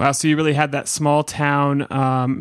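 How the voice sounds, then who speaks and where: Dry and close with no echo, a man's fairly high voice in an American accent moves at a fairly slow pace with monotone, flat intonation. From Northern California (Mount Shasta area, Santa Cruz). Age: 30s. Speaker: podcast host. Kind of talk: interview conversation; read-out sponsor ad. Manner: hesitant, many fillers.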